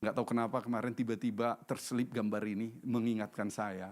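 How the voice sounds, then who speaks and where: An unremarkable speaking voice from a man at medium pitch, moderate pace, on a very clean recording with a silent background. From North Sumatra, Indonesia. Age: 60s. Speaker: pastor. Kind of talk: sermon.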